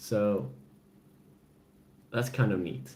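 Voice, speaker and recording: With a European accent, a man talks at a very slow pace, somewhat breathy and with lively intonation, in audible room echo. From Sweden. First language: Swedish. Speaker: gaming and adventure channel host. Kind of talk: casual live-stream chat.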